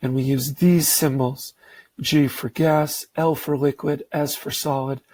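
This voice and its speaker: Very slow, somewhat breathy speech with fairly even intonation, dry and close with no echo. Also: man. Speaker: science teacher. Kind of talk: lecture.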